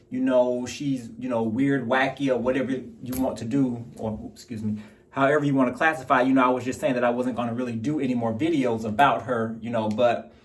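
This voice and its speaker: Audible room echo around a man's medium-pitched, monotone voice, flat in intonation, at a fairly quick pace with hardly any pauses. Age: 40s. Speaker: YouTube commentator. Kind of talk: casual commentary vlog. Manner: rambling with many fillers.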